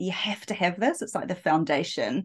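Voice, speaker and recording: A woman with a New Zealand accent talks at a fairly quick pace, her pitch fairly low. The background is quiet. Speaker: dating and relationship coach. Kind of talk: interview.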